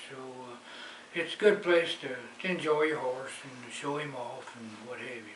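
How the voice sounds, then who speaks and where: A man talks at medium pitch and a moderate pace with ordinary pitch variation. Noticeable background noise is present. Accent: Southern US. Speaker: horse enthusiast, trail rider. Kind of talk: interview answer. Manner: passionate.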